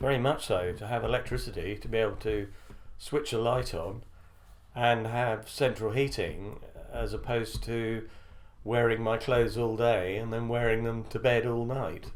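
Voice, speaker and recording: A man with a British accent talks in fairly even intonation. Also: medium pitch for a man, moderate pace. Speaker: former army officer. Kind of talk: interview answer.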